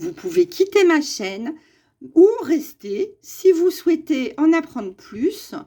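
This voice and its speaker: Very wide pitch swings run through a dark, mellow tone delivered at a very slow pace. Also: woman. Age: 60s. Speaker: spiritual YouTuber. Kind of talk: monologue to camera.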